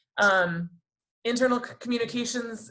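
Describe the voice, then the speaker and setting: A woman talks at a fairly quick pace. It is an ordinary speaking voice with fairly even intonation. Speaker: HR professional at a foundation. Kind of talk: webinar presentation.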